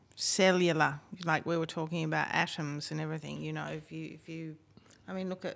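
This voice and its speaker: A woman speaks with an Australian accent on a very clean recording with a silent background. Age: 50s. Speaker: singer-songwriter and music producer. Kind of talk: casual chat.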